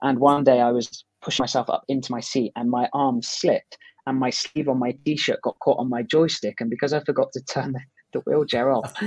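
In an unremarkable speaking voice, a man talks at a fairly quick pace with medium pitch and fairly even intonation. The sound is dry with no echo, and the background is quiet. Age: 20s. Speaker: guest. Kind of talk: interview. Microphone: earbuds.

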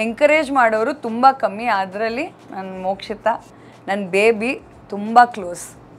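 The loudness swings widely. Pitch variation stays ordinary. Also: woman, fairly high pitch for a woman. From Bangalore, India; India. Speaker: TV actress and YouTuber; TV actress, YouTuber. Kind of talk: casual Q&A vlog. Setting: on set during makeup before a shoot. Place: office. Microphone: lapel.

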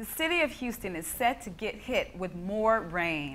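A woman with an American accent has an unremarkable speaking voice, a medium pitch and lively intonation. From United States. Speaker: news anchor and reporter. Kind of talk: television news anchor delivery.

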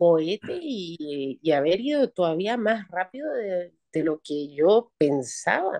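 Her intonation is lively as the woman speaks. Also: quiet background. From Chile. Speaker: retired opera singer; guest. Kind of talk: interview. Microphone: video call.

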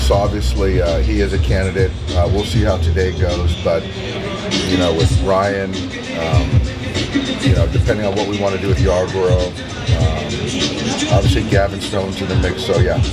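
Moderately paced speech with ordinary pitch variation and long, frequent pauses, over loud background music. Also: man. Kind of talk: press scrum interview answers. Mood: measured, calm. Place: stadium. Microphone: handheld.

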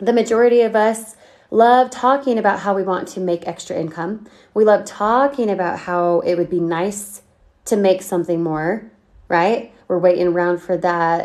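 Ordinary pitch variation in a woman's voice, set against a quiet background. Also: moderate pace. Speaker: online marketing coach. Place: home room. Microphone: phone near.

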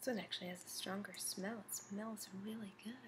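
A woman talks at a fairly quick pace in a monotone, flat intonation. Noticeable background noise is present. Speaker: beauty vlogger. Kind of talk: casual product review chat. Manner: soft ASMR whisper, close to mic. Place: home room. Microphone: webcam.

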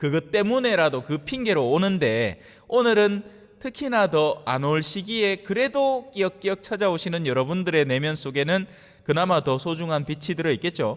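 A man talks in a high pitch. His pitch swings very widely. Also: moderate pace, quiet background. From South Korea. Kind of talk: sermon. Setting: church. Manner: conversational. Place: church. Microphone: podium.

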